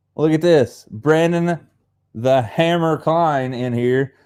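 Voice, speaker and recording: A man with an Appalachian accent, a dark, mellow tone and ordinary pitch variation. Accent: Appalachian hillbilly. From Appalachia, US. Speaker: fishing channel host. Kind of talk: casual live stream chat. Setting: live stream on Facebook and YouTube. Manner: casual, rambling with fillers.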